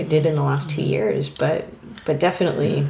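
A woman speaks with a very deep, low voice. The room echoes audibly and background noise is noticeable. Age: 30s. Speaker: illustrator. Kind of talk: casual chat.

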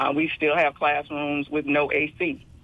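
In an American accent, a woman speaks at a fairly slow pace with a very deep, low pitch and monotone, flat intonation. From Memphis, Tennessee (US South). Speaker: teachers' union president. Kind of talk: radio interview. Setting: phone line into radio studio.

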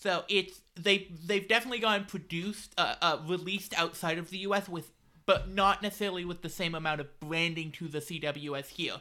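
A woman with an unremarkable speaking voice talks at a fairly low pitch and a fairly quick pace. Her intonation is fairly even, and there are hardly any pauses. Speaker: podcast host. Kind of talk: casual chat.

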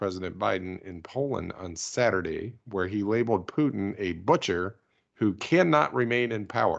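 The speaker uses a normal speaking voice with lively intonation at a moderate pace over a quiet background. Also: man. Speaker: podcast host. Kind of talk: casual chat about news, with jokes.

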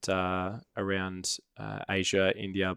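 A man speaks with an Australian accent. The sound is dry and close with no echo, on a very clean recording with a silent background. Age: 20s. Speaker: product manager, points collector. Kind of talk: casual chat. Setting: studio.

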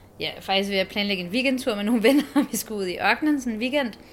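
An unremarkable speaking voice from a woman, fairly high-pitched with lively intonation. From abroad, born in Copenhagen. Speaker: expectant mother. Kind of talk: interview.

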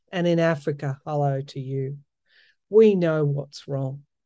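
A woman speaks with an Australian accent in a very deep, low pitch, her tone dark and mellow. Her intonation is fairly even, her pace fairly slow, and the background is quiet. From Australia, outback New South Wales. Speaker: tarot reader and astrologer podcaster. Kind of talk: solo podcast monologue with tarot reading. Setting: reading room, solo recording. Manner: hesitant, many fillers.

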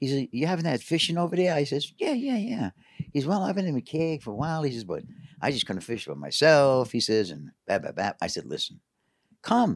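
On a very clean recording with a silent background, a man with an American accent speaks at a fairly quick pace with very wide pitch swings. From New York City. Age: 70s. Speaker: carp angler guest. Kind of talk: casual interview chat.

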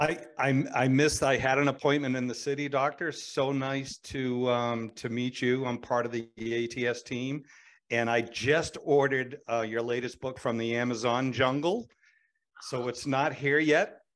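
A man with a Boston accent speaks at a moderate pace with fairly even intonation. The recording is very clean, with a silent background. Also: medium pitch for a man. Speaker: team member. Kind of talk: casual chat.

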